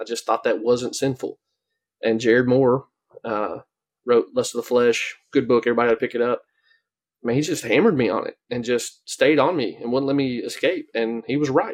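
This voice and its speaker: With an unremarkable speaking voice, a man talks at a fairly quick pace and medium pitch, his intonation fairly even. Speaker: podcast co-host. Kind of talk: casual interview chat.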